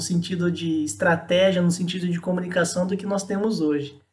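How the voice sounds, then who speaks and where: A man's high-pitched voice with audible room echo. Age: 30s. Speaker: marketing specialist. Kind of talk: casual interview.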